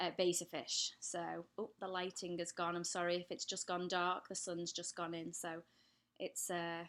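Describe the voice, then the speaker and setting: In an English accent, a woman speaks at a fairly low pitch with monotone, flat intonation, in a very clean recording with a silent background. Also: moderate pace. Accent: English accent, still clear. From England. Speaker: pet care YouTuber. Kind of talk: live stream Q&A. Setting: live stream at home. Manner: casual, hesitant with many fillers.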